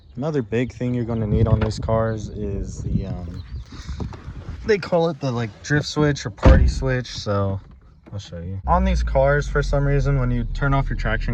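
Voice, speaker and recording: The speaker talks at a moderate pace over noticeable background noise. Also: man. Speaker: car enthusiast vlogger. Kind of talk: casual tutorial vlog. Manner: hesitant, many filler words.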